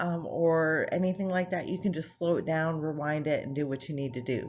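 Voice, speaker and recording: A woman talks at a moderate pace with a very deep, low pitch and ordinary pitch variation. Room echo is audible. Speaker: nursing professor. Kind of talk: lecture. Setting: recorded online course video.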